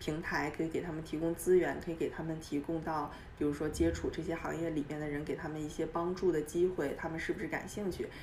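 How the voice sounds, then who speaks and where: A woman talks very fast in a very deep, low pitch, with hardly any pauses. Her intonation stays monotone and flat, and the room echo is audible. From China, Dalian. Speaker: entrepreneur. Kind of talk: interview. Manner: halting.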